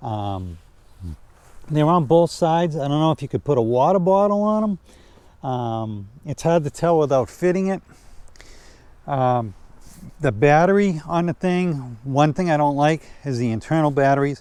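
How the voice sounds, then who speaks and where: Pausing long and often, a man talks at a moderate pace in a fairly high pitch, with lively intonation and a dark, mellow tone. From New Hampshire. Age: 60s. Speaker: e-bike reviewer. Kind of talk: product review. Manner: halting; casual.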